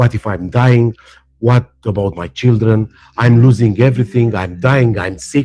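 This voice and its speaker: With a non-native accent, a man talks at a moderate pace in a medium-pitched, dark, mellow voice with ordinary pitch variation and long, frequent pauses, the sound dry and close with no echo. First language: not English. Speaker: spiritual teacher. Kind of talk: live stream talk. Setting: live stream. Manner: animated; halting.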